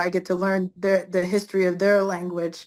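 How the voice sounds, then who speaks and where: A woman speaks with an American accent at a moderate pace and a medium pitch, in a monotone, flat intonation. The recording is very clean, with a silent background. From Pennsylvania, US. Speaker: professional basketball player. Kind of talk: interview. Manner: hesitant, many fillers.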